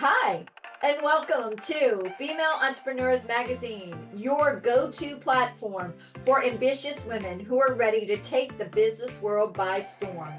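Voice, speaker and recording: With music playing in the background, a woman talks in a high voice with lively intonation. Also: fairly slow pace. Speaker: magazine podcast host. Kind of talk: podcast interview host.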